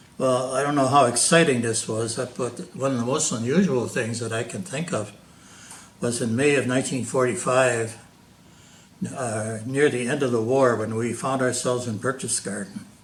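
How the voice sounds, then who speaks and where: An American accent with ordinary pitch variation and audible room echo. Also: man, medium pitch for a man, moderate pace. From Wisconsin, US Midwest. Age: 90s. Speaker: war veteran. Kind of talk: interview. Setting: at home, filmed by daughter.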